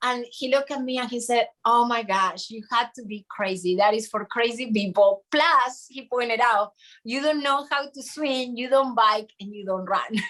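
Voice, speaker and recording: A woman talks at a moderate pace with a Spanish accent, her pitch high and her tone bright and sharp. She barely pauses, her pitch varies normally, and her loudness swings widely. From Argentina. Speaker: triathlete. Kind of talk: casual chat.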